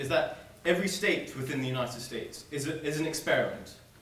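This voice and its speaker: Speech comes at a moderate pace with ordinary pitch variation. There is audible room echo and light background noise. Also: man. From South Africa. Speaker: student debater. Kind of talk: debate speech. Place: hall. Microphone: camera far.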